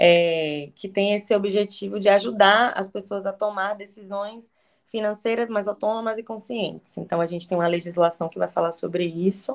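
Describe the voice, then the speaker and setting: A woman with a Bahian accent, medium pitch, fairly even intonation and a moderate pace. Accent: Bahian Brazilian Portuguese. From Bahia, Brazil. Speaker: education researcher, lecturer. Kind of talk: lecture. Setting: video call. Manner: halting.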